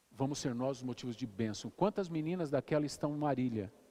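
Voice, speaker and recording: Speaking at a moderate pace and medium pitch, a man has a dark, mellow tone and ordinary pitch variation. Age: 60s. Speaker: pastor. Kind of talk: sermon.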